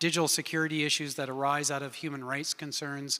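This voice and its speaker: In a Canadian accent, the speaker goes at a fairly quick pace with a bright, sharp tone. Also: man. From Canada. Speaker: research lab director. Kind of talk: panel discussion.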